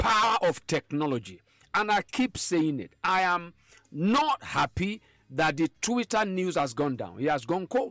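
A man speaks at a fairly slow pace in a high voice, with very wide pitch swings. The sound is dry and close, with no echo. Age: 50s. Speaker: podcast host. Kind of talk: casual chat. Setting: studio.

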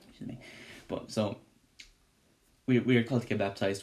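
A man talks very fast at a medium pitch. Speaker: Bible study podcast host. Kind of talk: Bible study teaching. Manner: animated.

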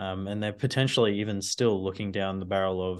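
A man with an Australian accent, fairly low in pitch, at a moderate pace with fairly even intonation against a quiet background. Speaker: data analyst. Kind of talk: casual interview on finance.

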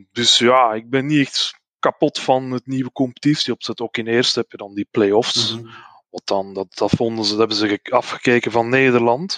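A man with a Flemish accent at a moderate pace, with fairly even intonation, in a dry, close sound with no echo. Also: medium pitch for a man, big swings in loudness. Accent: Flemish Dutch. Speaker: football fan, groundhopper. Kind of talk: casual chat.

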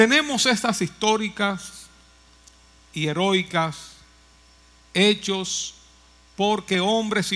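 A man's raised, projected voice, high in pitch, with ordinary pitch variation and a very slow pace. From Dominican Republic, Moca. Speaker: pastor. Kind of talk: sermon.

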